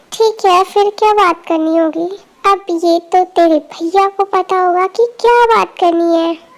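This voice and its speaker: A woman performs a put-on character voice at an extremely high pitch, with very even loudness and hardly any pauses. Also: moderate pace, fairly even intonation. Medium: fan dub. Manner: blunt, informal, teasing.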